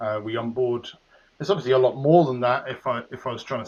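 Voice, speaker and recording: This man speaks with an English accent. His pitch sits in the medium range. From England, southwest London. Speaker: business executive. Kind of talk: interview. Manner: hesitant, many fillers.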